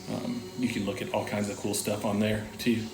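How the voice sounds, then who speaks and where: A man speaks at a fairly slow pace, with audible room echo and music playing in the background. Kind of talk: casual vlog monologue. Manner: relaxed, filler-heavy.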